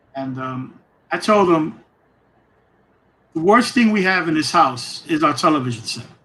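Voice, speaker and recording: With a New York accent, a man talks at a moderate pace in a fairly high pitch, his bright, sharp tone and lively intonation broken by long, frequent pauses amid audible room echo. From New York, East Harlem. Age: 60s. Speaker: program alumnus speaker. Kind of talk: casual interview. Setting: live-streamed town hall.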